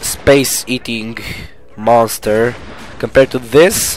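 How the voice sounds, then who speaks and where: With music in the background, the speech moves at a very slow pace. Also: man. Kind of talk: gameplay commentary. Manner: casual.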